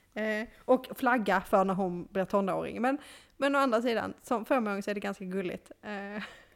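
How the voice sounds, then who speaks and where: In a very clean recording with a silent background, a woman with an unremarkable speaking voice speaks at a moderate pace with ordinary pitch variation. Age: 30s. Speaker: podcast co-host. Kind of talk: casual chat.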